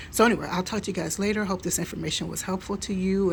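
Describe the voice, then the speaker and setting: A soft-spoken woman talks at a fairly low pitch with vocal fry. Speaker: home canning vlogger. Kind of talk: casual vlog talk. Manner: halting.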